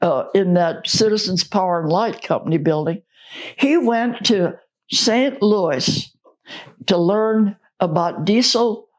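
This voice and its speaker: A woman speaks very slowly with an American accent. Her pitch is medium and her intonation lively. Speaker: oral history interviewee, church member. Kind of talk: oral history interview answer.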